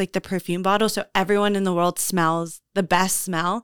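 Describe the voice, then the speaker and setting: A woman with an American accent speaks at medium pitch in a bright, sharp tone with monotone, flat intonation. The recording is very clean, with a silent background. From Houston, Texas. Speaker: host's fiancée. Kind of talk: casual chat.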